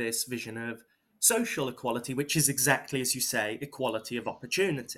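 A man with a British accent, medium in pitch, at a moderate pace with fairly even intonation. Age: 20s. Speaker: political activist. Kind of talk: interview. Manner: halting.

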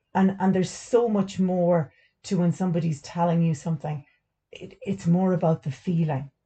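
A woman's somewhat breathy, dark, mellow voice in an Irish accent, fairly low in pitch, at a moderate pace with fairly even intonation. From Ireland. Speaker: stay at home mum, full time carer and podcast host. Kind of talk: casual chat. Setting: utility room recording.

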